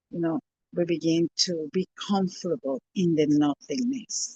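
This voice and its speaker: The sound is dry and close, with no echo. The tone is dark and mellow, with a Spanish accent. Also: woman. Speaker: spiritual teacher. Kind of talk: interview. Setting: live stream.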